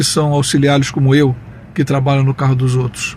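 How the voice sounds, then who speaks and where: The man's voice is fairly high and somewhat breathy. He keeps a moderate pace. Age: 60s. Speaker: taxi driver sharing opinions. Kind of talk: personal opinion monologue with anecdote.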